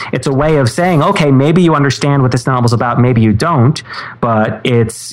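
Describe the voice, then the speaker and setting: A man is speaking with ordinary pitch variation. Noticeable background noise can be heard. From New York City, Manhattan. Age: 30s. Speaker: former book editor. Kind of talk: interview.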